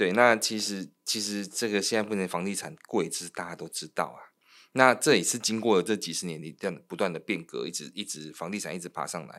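A man's fairly low, plain, everyday voice at a fairly quick pace, ordinary pitch variation and big swings in loudness, on a very clean recording with a silent background. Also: hardly any pauses. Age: 40s. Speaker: loan manager and podcast co-host. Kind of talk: casual chat.

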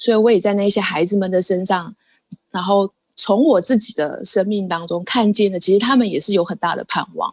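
Her pitch is medium and varies in an ordinary way. The woman keeps a fairly quick pace. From Taiwan. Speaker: Taiwanese living in India, Hindi learner. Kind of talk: casual chat. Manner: animated.

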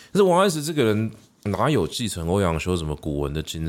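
With a Taiwanese accent, a man speaks at a fairly quick pace. His pitch is very deep and low. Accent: Taiwanese Mandarin. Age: middle-aged. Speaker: podcast host and literature teacher. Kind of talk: solo educational monologue. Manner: casual with frequent fillers.

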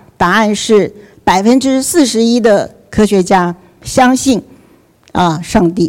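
Speaking at a very slow pace with long, frequent pauses, a woman has a fairly high pitch and ordinary pitch variation. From Taiwan, Taipei. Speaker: scientist and professor speaking at a church event. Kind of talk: faith and science lecture.

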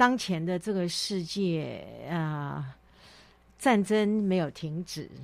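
On a very clean recording with a silent background, a woman speaks at a very slow pace with long, frequent pauses, her medium pitch showing ordinary variation. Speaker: author. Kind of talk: interview.

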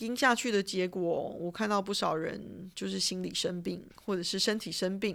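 On a very clean recording with a silent background, a woman talks at a moderate pace with hardly any pauses. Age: 40s. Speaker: podcast host, retired finance professional. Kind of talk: solo monologue podcast. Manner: casual, chatty.

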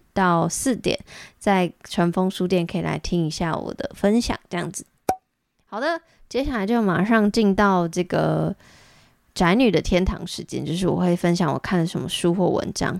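At a moderate pace, a woman speaks in a medium pitch with ordinary pitch variation, in a dry, close sound with no echo. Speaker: podcast host. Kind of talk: solo monologue. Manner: animated.

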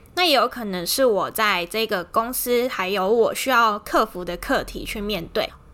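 A woman talks at a moderate pace with hardly any pauses. Her voice is bright and sharp in tone, fairly high in pitch, with ordinary pitch variation. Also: very clean recording, silent background. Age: 30s. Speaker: podcast host. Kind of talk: casual monologue.

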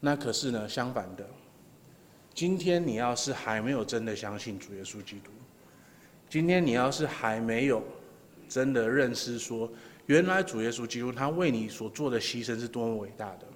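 A man with big swings in loudness and long, frequent pauses, set in audible room echo. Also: medium pitch for a man, ordinary pitch variation, moderate pace. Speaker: pastor. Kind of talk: sermon. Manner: halting, many filler sounds.

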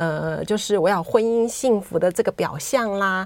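A woman talks at a moderate pace with ordinary pitch variation in a plain, everyday voice. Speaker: writer and former nurse. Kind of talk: interview. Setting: studio.

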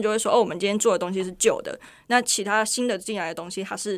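A woman in a Taiwanese accent, in a very clean recording with a silent background. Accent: Taiwanese Mandarin with Taiwanese Hokkien. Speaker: producer of a Taiwanese culture VTuber project. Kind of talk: casual interview chat.

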